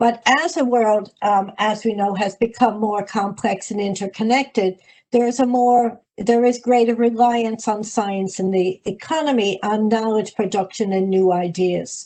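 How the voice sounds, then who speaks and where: A woman with an Irish accent, fairly slow pace and hardly any pauses. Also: fairly high pitch for a woman, ordinary pitch variation. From United States. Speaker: higher education policy expert. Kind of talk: webinar presentation. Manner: halting, frequent fillers.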